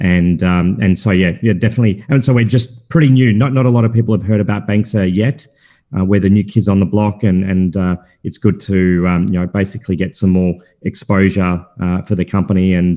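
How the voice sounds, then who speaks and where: A man speaks with an Australian accent. His fairly low voice has a dark, mellow tone. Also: ordinary pitch variation, fairly quick pace. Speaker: crypto company founder and chairman. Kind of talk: interview. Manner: halting, many fillers and repeated words.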